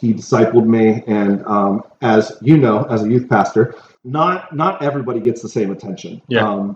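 A man speaks in an unremarkable speaking voice, with medium pitch, ordinary pitch variation and a moderate pace. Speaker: pastor. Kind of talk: casual chat. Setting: big room. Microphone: poor audio, room echo.

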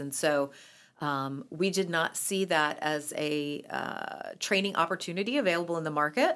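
A woman's normal speaking voice with an American accent, fairly low in pitch with ordinary pitch variation, at a fairly slow pace, on a very clean recording with a silent background. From North Carolina, Raleigh. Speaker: entrepreneur, company co-founder. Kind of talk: interview.

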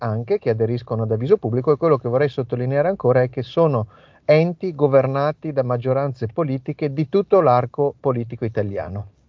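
Speaking at a fairly quick pace, a man uses a plain, everyday voice at medium pitch with ordinary pitch variation. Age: 50s. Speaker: national coordinator of an anti-mafia association. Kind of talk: interview.

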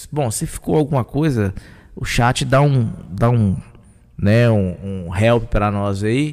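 At a very slow pace, a man talks with lively intonation at a medium pitch. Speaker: podcast host. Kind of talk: live podcast chat. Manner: loud.

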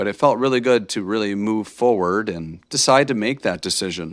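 A man with an American accent has an ordinary speaking voice, a fairly low pitch and lively intonation. He talks at a fairly quick pace on a very clean recording with a silent background. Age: 30s. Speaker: podcast host, teacher. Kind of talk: motivational monologue. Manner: casual, many filler words.

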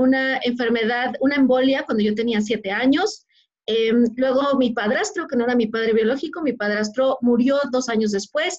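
A high-pitched female voice with very even loudness, at a moderate pace and with ordinary pitch variation. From Mexico, Puebla state. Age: 30s. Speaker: former corporate executive turned motivational speaker. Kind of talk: interview. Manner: animated.

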